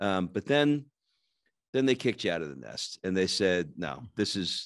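A man's fairly low voice, animated in tone with lively intonation, at a moderate pace in a dry sound with no echo against a quiet background. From New York. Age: 50s. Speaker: podcast host. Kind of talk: interview. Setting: video call. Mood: friendly, curious. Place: home room. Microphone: studio mic.

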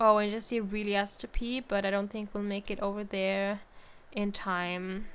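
Fairly slow speech from a woman over background music. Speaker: gaming let's play creator. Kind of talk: casual gameplay commentary.

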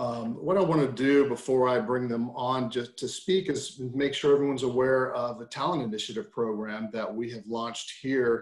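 A man at a moderate pace with hardly any pauses and ordinary pitch variation, audible room echo over a quiet background. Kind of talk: presentation. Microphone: video call.

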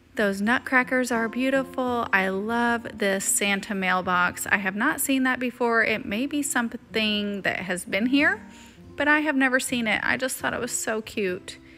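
With music in the background, a woman speaks at a moderate pace with ordinary pitch variation. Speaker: lifestyle vlogger. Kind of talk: casual vlog narration.

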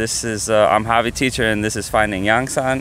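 A normal speaking voice with ordinary pitch variation, dry sound with no echo and light background noise. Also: man. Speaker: YouTube host and teacher. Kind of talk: casual interview. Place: open country. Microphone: handheld.

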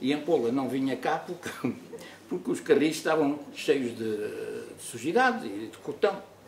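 Amid light background noise and audible room echo, a man speaks at a fairly slow pace with very wide pitch swings. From Mozambique. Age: 80s+. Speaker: retired doctor; interviewee. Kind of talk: testimony. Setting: studio. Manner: halting. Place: meeting room.

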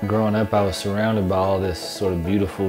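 Clear music sounds in the background. A man talks over it. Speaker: old-time musician. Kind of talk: interview answer. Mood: reflective, nostalgic. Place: home room. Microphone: lapel.

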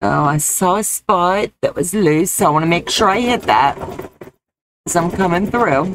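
The recording is dry with no echo, and a woman holds a very even loudness over noticeable background noise. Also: fairly low pitch for a woman, ordinary pitch variation, moderate pace. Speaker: crafts demonstrator. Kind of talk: live-stream crafting tutorial. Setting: live stream. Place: home room.

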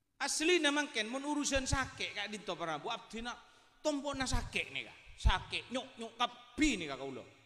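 Against a quiet background, a man speaks in an extremely high, raised and projected voice, animated with a bright, sharp tone, at a moderate pace with big swings in loudness. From Madura. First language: Madurese (speaking Indonesian). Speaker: Islamic preacher. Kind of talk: sermon. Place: hall. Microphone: handheld.

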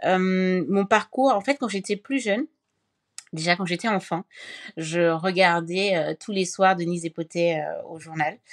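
A woman with an unremarkable speaking voice at a fairly slow pace, with ordinary pitch variation, in a very clean recording with a silent background and a dry, close sound with no echo. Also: medium pitch for a woman. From Cameroon. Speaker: mental health foundation founder and author. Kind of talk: interview.

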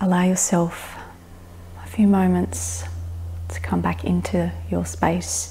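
A woman speaks very slowly with a very deep, low pitch and a soothing, somewhat breathy tone. Her intonation is monotone and flat, with long, frequent pauses over light background noise. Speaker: fitness and meditation instructor. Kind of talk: guided meditation with gentle stretching cues. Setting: home studio floor session on video. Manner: slow, soothing, reassuring with long pauses; soft-spoken, gently permissive affirmations. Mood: calm, soothing. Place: home room.

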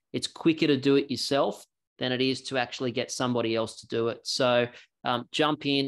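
With an Australian accent, a man talks at a medium pitch in a monotone, flat intonation over a quiet background. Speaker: software company representative; presenter. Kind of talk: product demo. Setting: video call. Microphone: video call.

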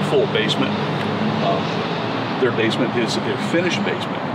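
A man is talking. Loud background noise sits behind him. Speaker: RV salesman giving tour. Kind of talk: product walkthrough explanation. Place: street.

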